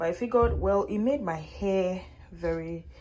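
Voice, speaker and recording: A woman talks at a fairly slow pace. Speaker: vlogger. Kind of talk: casual vlog. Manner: loud.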